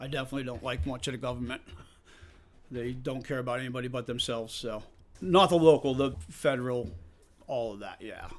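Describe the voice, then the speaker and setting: Speaking at a fairly quick pace, a man has a medium pitch and ordinary pitch variation. His loudness swings widely, and he takes long, frequent pauses. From Massachusetts, near Worcester. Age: 50s. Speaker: off-road park owner. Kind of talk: interview.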